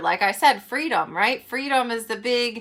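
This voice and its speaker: At a moderate pace, a woman with a fairly high voice speaks in an animated tone. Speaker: spiritual coach and card reader. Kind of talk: live event talk with card reading.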